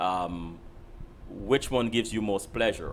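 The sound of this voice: A man talks slowly in a low pitch with ordinary pitch variation.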